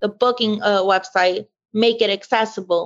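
An unremarkable speaking voice from a woman with an American accent, fairly high in pitch, at a moderate pace. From US South, Louisiana bayou. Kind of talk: interview testimony.

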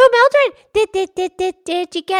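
In a put-on character voice, a woman sounds squeaky at an extremely high pitch. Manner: stuttering.

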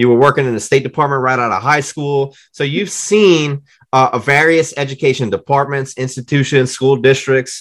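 Talking at a moderate pace with hardly any pauses, a man keeps his intonation fairly even. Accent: American. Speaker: podcast host, former English teacher. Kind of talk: interview conversation.

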